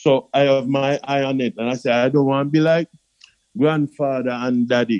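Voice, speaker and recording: A man with a Jamaican accent and a fairly high pitch, with fairly even intonation at a moderate pace, in a dry, close sound with no echo. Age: 60s. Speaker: customer giving testimony. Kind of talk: testimony.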